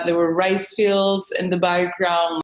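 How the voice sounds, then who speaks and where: Speaking at a fairly slow pace with medium pitch, a woman with a Spanish accent is heard amid audible room echo. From Mexico. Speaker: travel vlogger and model. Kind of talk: interview.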